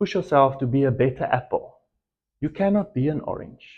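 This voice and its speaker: A man speaks in an Afrikaans accent at a moderate pace. His intonation is lively. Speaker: entrepreneur. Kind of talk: motivational talk. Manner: hesitant, with filler ums.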